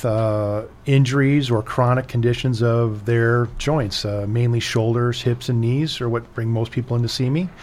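Speaking at a fairly slow pace with an American accent, a man uses ordinary pitch variation. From US Midwest, Chicago area. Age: 50s. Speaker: orthopedic surgeon. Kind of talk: radio interview.

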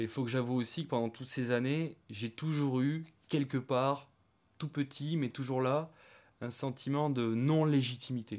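The speech moves at a fairly slow pace with fairly even intonation. The recording is very clean, against a silent background. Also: man, medium pitch for a man. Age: 30s. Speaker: woodworker and stepfather. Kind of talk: interview testimony. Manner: halting.

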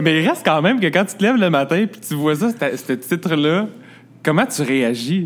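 Here a man speaks at a moderate pace with a fairly high pitch. His pitch swings very widely. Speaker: podcast host. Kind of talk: interview. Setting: restaurant.

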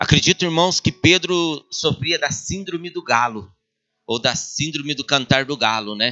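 A man's ordinary speaking voice, fairly high in pitch, at a fairly slow pace. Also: lively intonation. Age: 40s. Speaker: pastor. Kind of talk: sermon.

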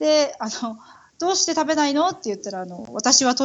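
Her pitch rises and falls across a very wide range. The woman talks at a fairly quick clip. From Tokyo, Japan (Itabashi ward). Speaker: Japanese expat mother. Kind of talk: casual interview chat.

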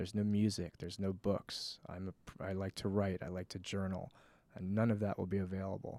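A man's very deep, low voice with an American accent, monotone, flat intonation and a fairly quick pace, on a very clean recording with a silent background. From Connecticut. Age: 30s. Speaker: fitness and wellness coach. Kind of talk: casual interview. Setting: studio.

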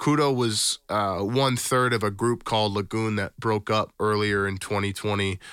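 With an American accent, a man has an ordinary speaking voice, fairly low in pitch with fairly even intonation, talking at a fairly slow pace with hardly any pauses. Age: 20s. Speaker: musician and music producer. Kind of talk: casual chat. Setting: video call.

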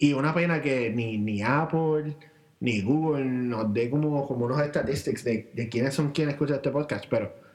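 With a normal speaking voice, a man talks at a moderate pace, his fairly high pitch showing ordinary pitch variation. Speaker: podcast co-host. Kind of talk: casual chat. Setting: home recording, same room.

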